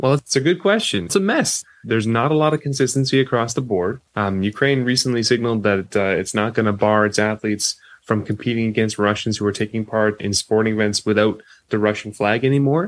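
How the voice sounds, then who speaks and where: In a Canadian accent, a man with an ordinary speaking voice talks at a medium pitch and a fairly quick pace, with ordinary pitch variation and very even loudness, on a very clean recording with a silent background. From Canada. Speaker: sports sociology professor. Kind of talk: interview.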